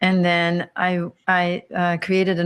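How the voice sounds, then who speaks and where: A woman talks in a fairly low pitch. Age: 50s. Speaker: abuse survivor and former yoga teacher. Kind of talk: interview testimony. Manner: halting.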